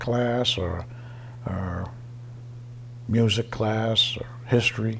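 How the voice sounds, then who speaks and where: Through noticeable background noise, a man speaks at a medium pitch with an American accent. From Easton, Massachusetts. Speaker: retiree sharing local memories. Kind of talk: oral history interview.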